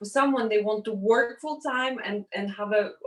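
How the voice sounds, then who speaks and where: With a Russian accent, a woman talks at a moderate pace in a fairly high voice, her pitch varying in an ordinary way. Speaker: entrepreneur. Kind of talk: interview. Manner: halting.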